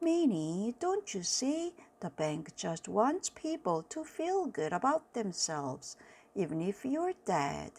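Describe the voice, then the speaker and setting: A put-on character voice at a fairly slow pace with very wide pitch swings, in a very clean recording with a silent background. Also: woman, medium pitch for a woman. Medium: read story. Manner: earnest, matter-of-fact.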